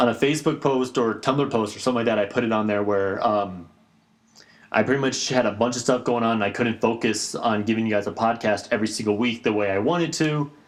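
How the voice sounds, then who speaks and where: At a very fast pace, a man talks in a medium pitch with ordinary pitch variation and very even loudness. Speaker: podcast host. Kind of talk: casual chat.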